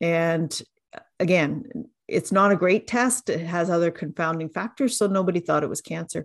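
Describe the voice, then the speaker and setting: A woman speaks with a Canadian accent and a normal speaking voice. Her pitch sits fairly low, with ordinary variation. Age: 60s. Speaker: dietitian and cancer survivor. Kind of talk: interview testimony.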